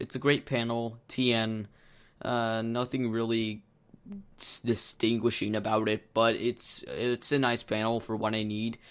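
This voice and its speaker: At a moderate pace, a man speaks at medium pitch in a very clean recording with a silent background. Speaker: tech YouTuber. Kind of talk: product tour video. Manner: casual, some filler words.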